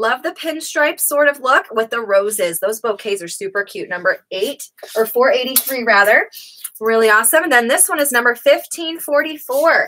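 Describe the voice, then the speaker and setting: The voice is raised and projected, with very wide pitch swings. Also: woman, high pitch for a woman, moderate pace. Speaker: online clothing seller. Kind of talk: live sales pitch. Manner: animated. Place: shop. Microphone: webcam.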